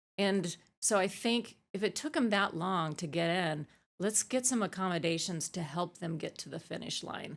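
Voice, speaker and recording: Recorded very cleanly against a silent background, a woman with an American accent uses an ordinary speaking voice at a medium pitch and moderate pace, with ordinary pitch variation. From Arizona, US. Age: 50s. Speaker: ultramarathon coach and athlete. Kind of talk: podcast interview. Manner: casual, many fillers.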